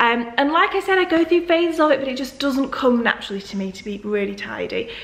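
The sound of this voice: Her voice is high-pitched, with a fairly bright tone and a fairly quick pace. Faint background noise sits behind the woman. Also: ordinary pitch variation.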